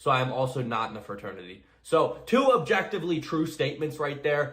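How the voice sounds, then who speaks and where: A man talks with ordinary pitch variation, his voice carrying audible room echo. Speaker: college student and commentary YouTuber. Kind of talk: recorded response commentary video.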